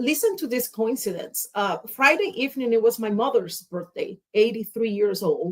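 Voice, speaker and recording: A fairly high-pitched woman with a Spanish accent, lively intonation and hardly any pauses. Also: moderate pace. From Cuba. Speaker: public speaker. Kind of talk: casual chat.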